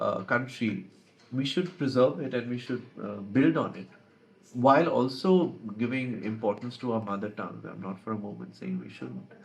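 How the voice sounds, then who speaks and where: Vocal fry marks this man's medium-pitched voice as he speaks at a moderate pace. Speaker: advertising professional and author. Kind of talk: interview. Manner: hesitant, many fillers.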